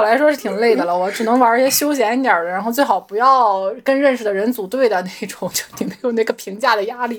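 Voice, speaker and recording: With noticeable background noise behind her, a woman talks at a very fast pace with lively intonation. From Shandong, China.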